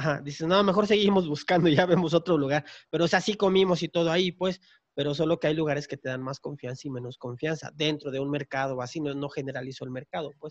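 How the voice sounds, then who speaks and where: A man with a fairly high pitch speaks very fast, with ordinary pitch variation, in a dry, close sound with no echo. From Mexico, Tapachula, Chiapas. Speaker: podcast host. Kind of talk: casual chat. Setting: home recording during lockdown.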